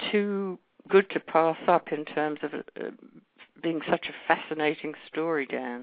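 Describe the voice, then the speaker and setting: A woman with a very deep, low voice talks at a fairly slow pace and ordinary pitch variation. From London, England. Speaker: journalist and true crime author. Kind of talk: interview.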